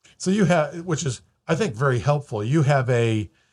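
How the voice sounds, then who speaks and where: A somewhat breathy man in a very clean recording with a silent background. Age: 60s. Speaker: mortgage broker and podcast host. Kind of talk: interview. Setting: studio.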